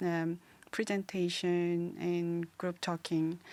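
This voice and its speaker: A woman with a Korean accent, fairly low in pitch, at a very slow pace. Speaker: podcast co-host, art student. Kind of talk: casual chat. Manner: halting.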